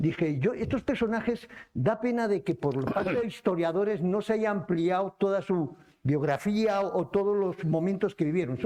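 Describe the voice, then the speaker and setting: A man speaks at a moderate pace. His pitch is high and his intonation lively. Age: 70s. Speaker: book presenter. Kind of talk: book presentation dialogue. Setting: cultural centre event with audience.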